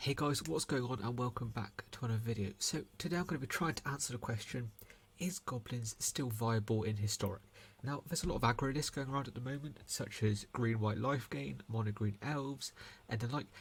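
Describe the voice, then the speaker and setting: A man speaks quietly and somewhat breathily. His pace is fairly quick. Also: medium pitch for a man, ordinary pitch variation. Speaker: gaming content creator. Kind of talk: gameplay commentary. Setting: at home late at night. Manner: speaking quietly; hesitant with fillers.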